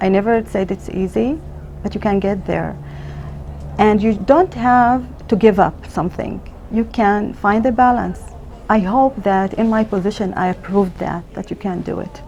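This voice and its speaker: With noticeable background noise behind her, a woman in an Arabic accent talks at a moderate pace and medium pitch with fairly even intonation. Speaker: emergency physician. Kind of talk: interview. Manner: halting.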